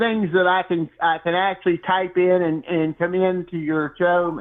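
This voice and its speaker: Here a man speaks at a high pitch. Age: 70s. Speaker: caller, longtime college football fan. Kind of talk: casual phone chat. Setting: phone call. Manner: halting.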